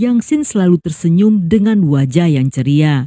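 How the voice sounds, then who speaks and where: Music plays in the background as the voice moves at a fairly slow pace. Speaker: storyteller. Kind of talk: true crime narration.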